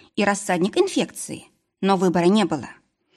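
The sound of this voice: The background stays quiet as the speaker uses an unforced reading voice.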